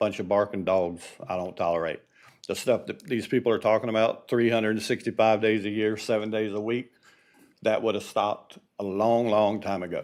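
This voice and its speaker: In a quiet background, a man with a fairly low pitch talks at a fairly quick pace with fairly even intonation. He has an unremarkable speaking voice. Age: 60s. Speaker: resident speaking at public comment. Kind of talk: public comment. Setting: city commission meeting.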